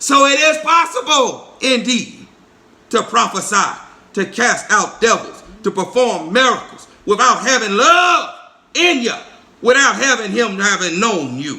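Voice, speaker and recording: A man's raised, projected voice at an extremely high pitch, with lively intonation, a fairly slow pace and audible room echo. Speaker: preacher. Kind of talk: sermon.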